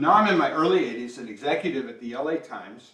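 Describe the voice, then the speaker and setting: A man with an American accent at a very fast pace, ordinary pitch variation and audible room echo. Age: 60s. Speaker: company founder giving keynote. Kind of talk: keynote speech. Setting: talk to company employees. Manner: conversational, many fillers.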